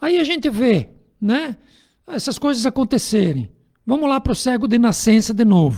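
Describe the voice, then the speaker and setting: On a very clean recording with a silent background, the speech moves at a moderate pace, broken by long, frequent pauses. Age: 60s. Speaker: spiritist radio speaker. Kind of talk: religious radio talk. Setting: radio studio. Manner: animated.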